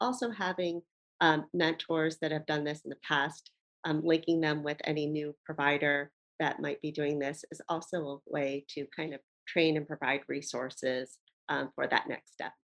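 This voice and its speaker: With an American accent, a woman speaks at a moderate pace in a very deep, low voice. Her intonation is fairly even, and the sound is dry and close with no echo. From US, Baltimore, Maryland. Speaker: nurse practitioner and nursing educator. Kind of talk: interview.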